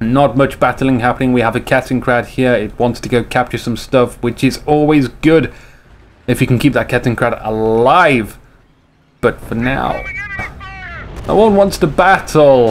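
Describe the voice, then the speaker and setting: A man with a medium pitch speaks at a moderate pace. He leaves long, frequent pauses, and there is noticeable background noise. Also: ordinary pitch variation. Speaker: esports game commentator. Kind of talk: live commentary. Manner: animated.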